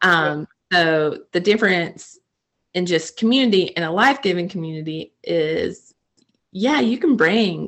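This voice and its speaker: A woman speaks in an American accent at a fairly slow pace. She has an ordinary speaking voice with a medium pitch. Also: lively intonation. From North Carolina, small town. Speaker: ministry coordinator and army wife. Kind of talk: casual faith chat.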